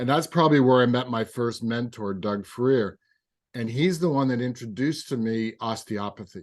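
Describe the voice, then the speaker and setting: Medium-pitched man at a moderate pace, ordinary pitch variation, quiet background. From Canada. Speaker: physical therapist and osteopath. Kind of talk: interview conversation. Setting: podcast recording.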